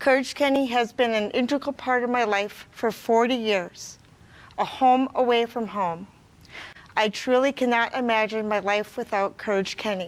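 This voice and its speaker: A woman speaks in a normal speaking voice at a fairly high pitch and a moderate pace, her intonation fairly even. The recording is very clean, with a silent background. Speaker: rehabilitation client. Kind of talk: gala opening speech.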